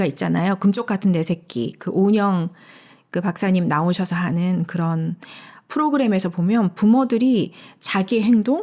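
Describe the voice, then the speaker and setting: Lively intonation from a woman of medium pitch with a dark, mellow tone, at a moderate pace in a very clean recording with a silent background. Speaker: enneagram study co-host. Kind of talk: casual discussion. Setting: recording studio. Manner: loud.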